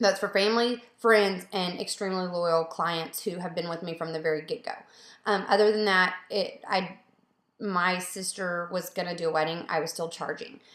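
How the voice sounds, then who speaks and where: A woman speaks with fairly even intonation. The recording has audible room echo. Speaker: photographer. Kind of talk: casual Q&A video. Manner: fast. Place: home room. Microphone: webcam.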